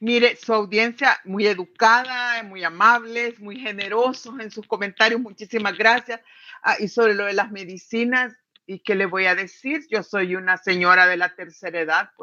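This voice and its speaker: A woman speaks at a moderate pace in a fairly high voice with a bright, sharp tone, ordinary pitch variation, and big swings in loudness. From El Salvador. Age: 60s. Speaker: economist, political analyst. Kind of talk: interview.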